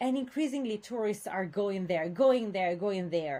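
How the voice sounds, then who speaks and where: In an Italian accent, a woman speaks with very wide pitch swings on a very clean recording with a silent background. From Italy, Venice area. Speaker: university lecturer. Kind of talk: lecture. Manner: hesitant, many fillers.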